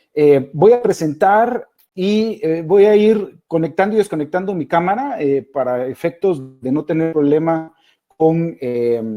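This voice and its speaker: A man with a Guatemalan accent speaks at a fairly slow pace and a high pitch. His tone is dark and mellow, his intonation lively. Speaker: innovation speaker. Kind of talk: webinar presentation. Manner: hesitant, many fillers.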